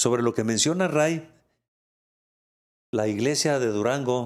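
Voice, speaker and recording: The man's voice shows ordinary pitch variation in a very clean recording with a silent background. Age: 60s. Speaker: pastor. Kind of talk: interview testimony.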